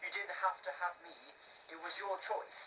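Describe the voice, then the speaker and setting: A put-on character voice drawls at a fairly high pitch. Background noise is clearly audible. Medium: read story.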